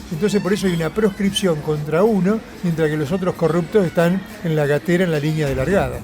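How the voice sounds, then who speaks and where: Music plays in the background as a man with a high pitch and a Rioplatense accent talks at a very fast pace. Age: 70s. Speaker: left-wing politician. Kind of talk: political interview. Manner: animated.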